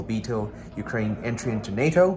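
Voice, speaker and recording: Speaking with a non-native accent, a man talks in a fairly low register. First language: not English. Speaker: political commentator. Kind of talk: casual monologue. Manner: halting, with fillers and self-corrections.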